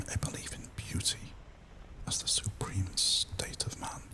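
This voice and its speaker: The voice is a whisper at a fairly slow pace. Background noise is noticeable throughout. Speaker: ASMR creator. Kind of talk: ASMR whispered reading. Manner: soft-spoken, whispered.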